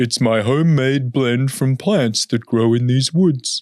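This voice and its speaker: Using a put-on character voice, a man speaks at a medium pitch. His pace is fairly slow. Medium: read story. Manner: polite, exasperated.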